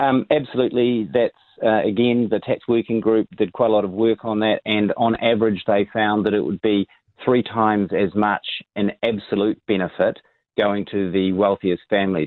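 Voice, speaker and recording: Spoken with a New Zealand accent at a moderate pace. The loudness is very even and the intonation fairly even. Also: man, fairly low pitch for a man. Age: 50s. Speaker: tax specialist. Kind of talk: radio interview. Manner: hesitant, many ums.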